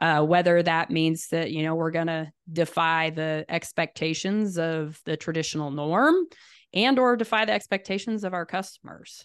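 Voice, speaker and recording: In an ordinary speaking voice, a woman with an American accent talks at a moderate pace and a fairly low pitch, with ordinary pitch variation and a quiet background. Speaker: rancher and beef business owner. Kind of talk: interview.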